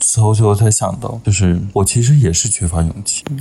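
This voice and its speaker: Over noticeable background noise, a man talks in a fairly low pitch. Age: 20s. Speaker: podcast guest. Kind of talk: casual chat.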